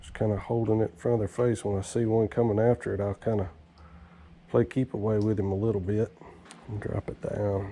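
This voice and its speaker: Here a man speaks in a Southern US accent. His voice is fairly low and his pace fairly quick. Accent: US South. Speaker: fishing channel host. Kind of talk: outdoor fishing vlog commentary. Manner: casual, excited; quiet, hushed.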